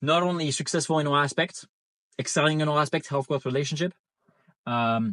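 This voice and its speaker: A man with a non-native accent speaks at a fairly high pitch in a bright, sharp tone, with ordinary pitch variation and very even loudness. His pace is fairly quick, broken by long, frequent pauses. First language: not English. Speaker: online business coach. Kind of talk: casual monologue. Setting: in a car. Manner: halting, repeats words.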